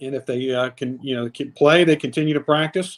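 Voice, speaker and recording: With fairly even intonation, a man talks in an ordinary speaking voice that sits fairly high in pitch. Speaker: stadium public address announcer. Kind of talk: casual podcast guest conversation.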